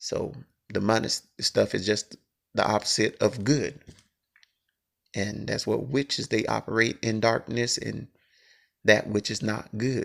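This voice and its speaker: Marked by vocal fry and long, frequent pauses, a man talks at a fairly slow pace and medium pitch with fairly even intonation. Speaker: religious video blogger. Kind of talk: religious monologue. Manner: halting, stuttering.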